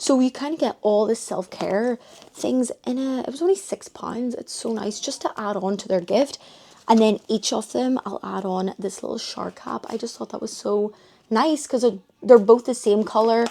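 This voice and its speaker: A dark, mellow tone in a Northern Irish accent, at a moderate pace, with ordinary pitch variation and big swings in loudness. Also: woman, fairly high pitch for a woman. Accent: Northern Irish (Belfast). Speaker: vlogger. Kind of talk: casual vlog chat. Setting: bedroom at family home.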